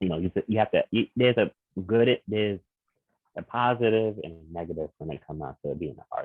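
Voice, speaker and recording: With a New York accent, a man talks fairly quickly at a fairly low pitch, using lively intonation and big swings in loudness. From Queens, New York. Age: 30s. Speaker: visual artist. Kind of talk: podcast interview.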